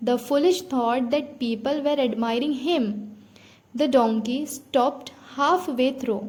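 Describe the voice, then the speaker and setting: At a very slow pace, a woman with an Indian accent speaks in a high pitch with ordinary pitch variation. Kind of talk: read story for English listening practice.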